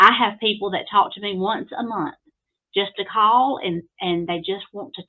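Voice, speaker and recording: A woman with an Alabama accent talks at a fairly slow pace and medium pitch, with ordinary pitch variation. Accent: Southern US (Alabama). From US South, Alabama. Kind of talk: podcast interview. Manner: hesitant, many fillers.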